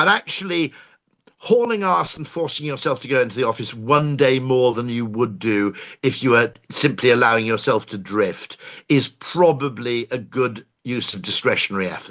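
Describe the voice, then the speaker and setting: In a very clean recording with a silent background, a man with an English accent speaks at a moderate pace in a medium pitch with ordinary pitch variation. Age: 50s. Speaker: advertising executive. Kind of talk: casual chat. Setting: live audio room.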